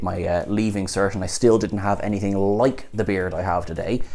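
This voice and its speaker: With an Irish accent, this speaker keeps to a moderate pace. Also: man. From Ireland. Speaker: TV show reviewer; TV review host. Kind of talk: video review commentary; commentary. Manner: animated. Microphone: lapel.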